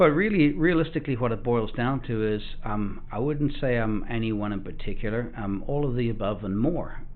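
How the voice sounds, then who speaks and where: A man speaks at a moderate pace with a medium pitch, ordinary pitch variation and audible room echo. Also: hardly any pauses. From South Africa. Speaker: off-road shop owner. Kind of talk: casual interview. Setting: studio.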